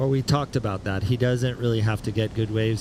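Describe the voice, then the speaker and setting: In a somewhat breathy voice, the man talks at a pitch that sits in the middle of his range. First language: Spanish. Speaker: surf commentator. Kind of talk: live commentary.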